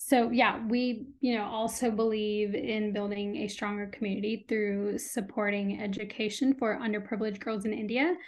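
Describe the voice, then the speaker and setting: In a General American accent, a woman with an ordinary speaking voice keeps a fairly high pitch and fairly even intonation at a moderate pace. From US Midwest and Texas (Illinois, then Austin). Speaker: skincare brand founder. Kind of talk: interview.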